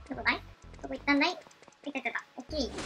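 A woman projects a raised voice at a high pitch and a very fast pace. Clear music plays in the background. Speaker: game streamer. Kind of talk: casual gameplay commentary.

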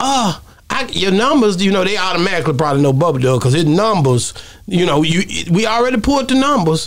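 Moving at a fairly quick pace, a man lets his pitch swing very wide. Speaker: podcast guest. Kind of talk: casual interview storytelling. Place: studio. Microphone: studio mic.

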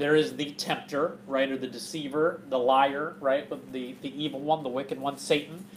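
Light background noise sits under the clip. A man talks at a fairly quick pace. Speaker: bible study teacher. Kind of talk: sermon. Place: hall. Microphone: camera far.

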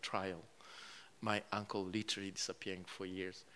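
A man's bright, sharp tone, monotone and flat, over light background noise. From Rwanda. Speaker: author; guest. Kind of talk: live book event interview. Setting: stage with audience. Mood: reflective, recounting hardship. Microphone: handheld.

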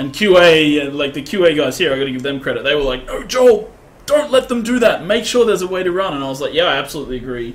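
With very wide pitch swings, a man speaks very fast at a high pitch. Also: hardly any pauses. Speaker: game creative director. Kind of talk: live gameplay commentary. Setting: livestream. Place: office.

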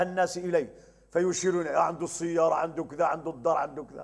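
The voice belongs to a man. Little sound surrounds him, leaving a quiet background. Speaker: religious teacher. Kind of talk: religious lesson. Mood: cheerful, smiling. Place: home room. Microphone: lapel.

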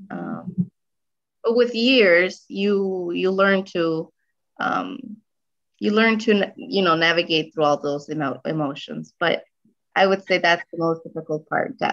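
With lively intonation, a woman talks rather slowly while the background stays quiet. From Guatemala, raised in US from age 7. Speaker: registered nurse; interviewee. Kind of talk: interview. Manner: hesitant, many fillers. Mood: warm, slightly emotional. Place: home room. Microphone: video call.

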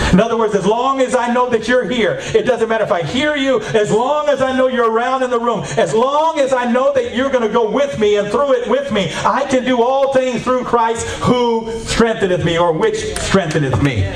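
A man's extremely high-pitched, animated voice at a moderate pace, with hardly any pauses, very even loudness, ordinary pitch variation, light background noise and audible room echo. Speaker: preacher. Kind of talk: sermon. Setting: church, wired with a mic for video. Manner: animated, exhorting, call-and-response with the congregation; repetitive. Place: church.

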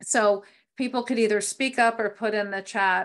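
A woman with an American accent talks in an ordinary speaking voice at a medium pitch and a moderate pace. Her intonation is fairly even, and the background is quiet. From US East Coast. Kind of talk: training presentation. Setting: video call. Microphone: video call.

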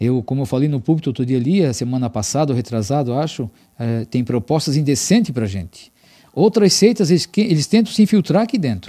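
Against a quiet background, a man talks very fast in a fairly high, dark, mellow voice with very wide pitch swings. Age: 50s. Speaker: religious program host. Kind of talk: religious broadcast talk. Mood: earnest, firm. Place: studio. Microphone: studio mic.

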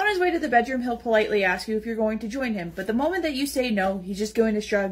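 Someone does plain reading aloud. The voice rises and falls in a lively way.

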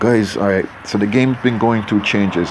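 Noticeable background noise sits behind a man with a fairly low pitch. He moves at a moderate pace with ordinary pitch variation. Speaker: gaming YouTuber. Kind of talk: gameplay commentary. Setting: home recording with headphones. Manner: rambling; repetitive.

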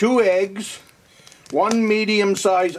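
Light background noise behind a man speaking. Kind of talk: tutorial. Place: kitchen. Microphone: camera far.

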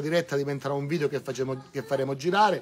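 There is noticeable background noise behind this recording. The man's voice is fairly high with ordinary pitch variation. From Calabria, Ardore area (Reggio Calabria). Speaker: local election candidate. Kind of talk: campaign speech. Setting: outdoors in front of a church, live-streamed. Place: street. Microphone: camera far.

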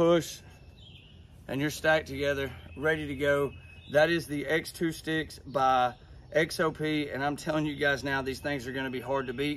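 A man at a moderate pace, monotone and flat in intonation, with light background noise. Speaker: hunting gear reviewer. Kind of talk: product review tutorial. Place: open country.

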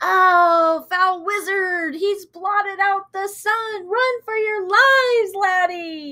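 A woman puts on a character voice at an extremely high pitch. Her pace is very slow. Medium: read story. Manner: panicked, yelling.

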